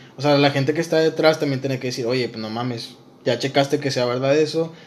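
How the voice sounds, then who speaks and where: Noticeable background noise sits under a man whose intonation is fairly even. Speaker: podcast co-host. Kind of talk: casual chat.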